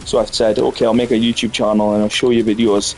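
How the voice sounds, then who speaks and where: Noticeable background noise sits behind a man with a Scottish accent. He speaks at medium pitch and a fairly quick pace. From Scotland. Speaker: gaming streamer. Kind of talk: casual gameplay commentary.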